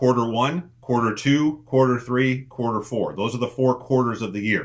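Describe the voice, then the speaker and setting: A man with a medium-pitched voice and an unremarkable speaking voice is heard on a very clean recording with a silent background. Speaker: business coach. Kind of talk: group call coaching talk.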